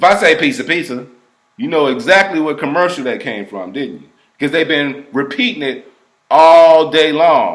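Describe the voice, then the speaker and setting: A man with a fairly high pitch and vocal fry speaks at a moderate pace. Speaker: hypnotherapist. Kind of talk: explanatory talk to camera. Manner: casual conversational.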